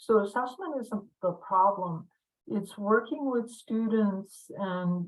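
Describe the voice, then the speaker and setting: At a fairly slow pace, a woman speaks in a somewhat breathy voice of medium pitch with ordinary pitch variation. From Pine Ridge Reservation, South Dakota (Lakota). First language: Lakota. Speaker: university language instructor. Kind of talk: lecture. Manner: halting, many fillers.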